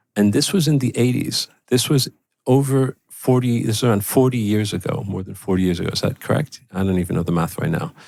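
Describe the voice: A man's fairly low voice with a slightly mellow tone, vocal fry, ordinary pitch variation and a fairly quick pace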